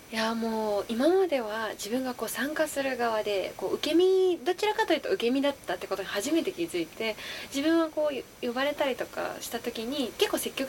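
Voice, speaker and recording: A woman talks at a fairly quick pace with a high pitch, very wide pitch swings, and hardly any pauses. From Osaka. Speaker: actress. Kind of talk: interview.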